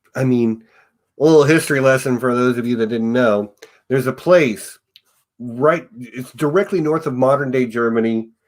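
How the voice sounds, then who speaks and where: This man has a Southern US accent. His pitch is medium, with ordinary variation. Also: moderate pace. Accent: mild US Southern. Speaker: podcast host. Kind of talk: casual chat.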